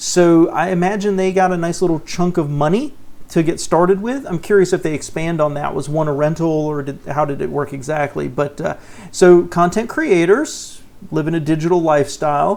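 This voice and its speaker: At a moderate pace, a man with a Southern US accent speaks in a high pitch. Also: ordinary pitch variation. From US South. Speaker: personal finance YouTuber. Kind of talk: reaction commentary. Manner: casual, conversational.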